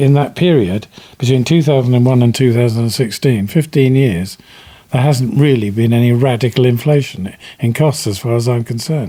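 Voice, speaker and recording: A man with a British accent talks in a dark, mellow tone at a very even loudness. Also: medium pitch for a man, ordinary pitch variation, fairly quick pace. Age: 70s. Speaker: self builder and author. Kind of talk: interview. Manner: halting.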